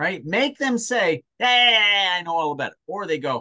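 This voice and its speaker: The tone is bright and sharp, the pace fairly slow, and the sound dry and close with no echo. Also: man. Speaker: sales coach. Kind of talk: one-on-one coaching session.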